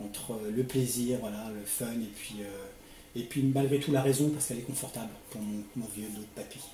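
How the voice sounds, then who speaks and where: Over noticeable background noise, a man at medium pitch talks at a moderate pace with hardly any pauses, fairly even intonation and big swings in loudness. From Paris suburbs (Seine-Saint-Denis). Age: 40s. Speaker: motovlogger, youth worker. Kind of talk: interview. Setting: at home.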